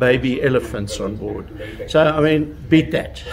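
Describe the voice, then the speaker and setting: A man talks over noticeable background noise. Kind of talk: interview answer. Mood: proud, friendly, anecdotal. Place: garage.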